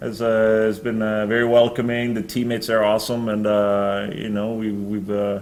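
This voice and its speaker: A man of medium pitch at a moderate pace, monotone and flat, with audible room echo and noticeable background noise. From Norway. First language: Norwegian. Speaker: professional football punter. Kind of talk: press conference Q&A. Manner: halting, many fillers.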